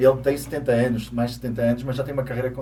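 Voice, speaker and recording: Talking very fast at medium pitch in monotone, flat intonation, a man is heard through noticeable background noise and audible room echo. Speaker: co-host of a Portuguese community segment. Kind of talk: casual talk-show chat.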